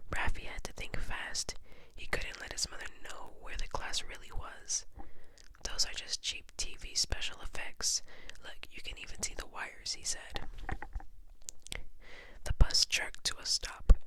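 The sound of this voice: A woman whispers at a fairly slow pace, with long, frequent pauses.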